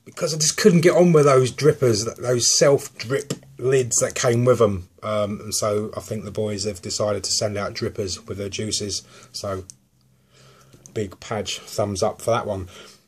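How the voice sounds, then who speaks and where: A man with a southern English accent, somewhat breathy, at a moderate pace with ordinary pitch variation. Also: medium pitch for a man, big swings in loudness. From southern England. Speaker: vape juice reviewer. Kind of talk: product review. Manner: casual, hesitant with many ums.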